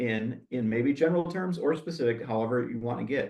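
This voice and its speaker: Ordinary pitch variation and a moderate pace from a man with a normal speaking voice at medium pitch. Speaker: insurance agent and former arborist. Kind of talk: Q&A answer; webinar presentation. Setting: webinar.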